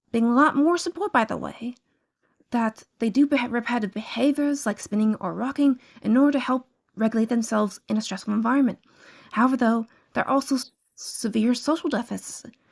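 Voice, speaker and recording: Quiet and fairly high-pitched, a woman speaks at a moderate pace with ordinary pitch variation. The recording is very clean, with a silent background. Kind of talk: educational talk to camera.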